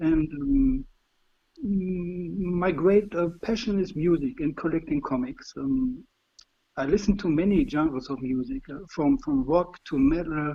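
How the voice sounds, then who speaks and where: A man with a German accent talks at a fairly slow pace in a high voice that swings very widely in pitch. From Germany. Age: 50s. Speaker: fan being interviewed. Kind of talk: interview. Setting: call on livestream. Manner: halting, many fillers.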